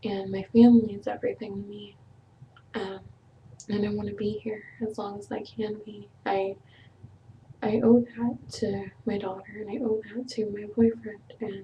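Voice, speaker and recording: Somewhat breathy and dark, mellow in tone, a woman with a fairly high pitch speaks at a moderate pace in a monotone, flat intonation, with long, frequent pauses and big swings in loudness. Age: 20s. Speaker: vlogger. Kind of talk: personal vlog, emotional confession. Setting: webcam video. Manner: halting, many fillers.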